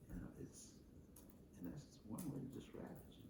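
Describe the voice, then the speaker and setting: This man's voice has a dark, mellow tone with vocal fry. He speaks at a moderate pace. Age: 80s+. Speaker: retired brick mason. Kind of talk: interview answer.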